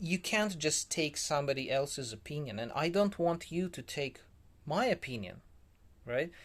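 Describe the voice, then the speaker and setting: In a very clean recording with a silent background, a man talks fairly slowly with lively intonation. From former Soviet Union. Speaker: vlogger. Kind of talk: casual talk-to-camera monologue. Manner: hesitant, many fillers.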